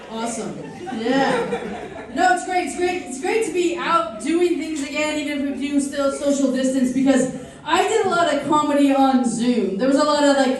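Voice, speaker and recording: A woman with an American accent speaks at a moderate pace and a high pitch, with ordinary pitch variation. Audible room echo and noticeable background noise surround her. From United States. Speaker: stand-up comedian. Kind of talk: stand-up. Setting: stage with audience.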